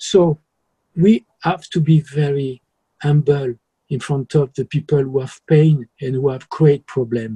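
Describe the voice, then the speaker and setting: With a French accent, a man speaks fairly slowly in a somewhat breathy, dark, mellow tone, fairly high-pitched for a man with fairly even intonation, the sound dry and close with no echo. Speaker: journalist. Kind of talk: interview.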